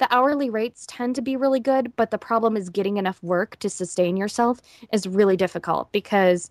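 A woman speaks with a plain, everyday voice at a medium pitch and a fairly quick pace, with ordinary pitch variation. The recording is very clean with a silent background, dry and close with no echo. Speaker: voice actor. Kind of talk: interview answer. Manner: casual, conversational.

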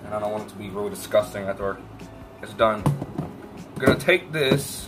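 A man speaks with clear music in the background. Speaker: vlogger. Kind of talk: casual vlog chat. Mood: playful, self-joking. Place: kitchen. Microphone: phone near.

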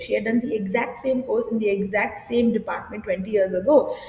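Audible room echo surrounds a voice moving at a moderate pace with ordinary pitch variation. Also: woman. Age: 30s. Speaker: drama teacher. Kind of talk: casual interview. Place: studio.

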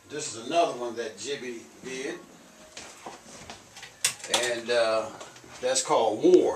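A man's speech has clear room echo and a little background noise. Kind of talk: casual guided tour commentary. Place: home room. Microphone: camera far.

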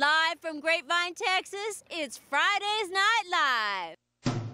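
Extremely high in pitch, a woman's bright, sharp voice is raised and projected, with lively intonation at a very slow pace. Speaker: TV reporter. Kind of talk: on-location TV news reporting.

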